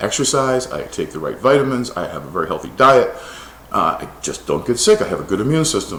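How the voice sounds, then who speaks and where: A man talks at a fairly quick pace, and audible room echo is present. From United States. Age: 60s. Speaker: scientist. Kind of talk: opinion monologue. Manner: animated.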